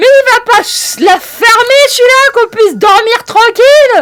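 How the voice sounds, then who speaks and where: A put-on character voice pitched extremely high, delivered at a fairly slow pace. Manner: irritated, complaining.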